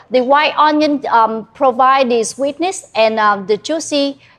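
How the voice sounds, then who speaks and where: With a strong Vietnamese accent, a woman talks at a very slow pace with ordinary pitch variation. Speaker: chef. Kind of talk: cooking demonstration. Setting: cooking class with live audience. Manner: halting, many fillers.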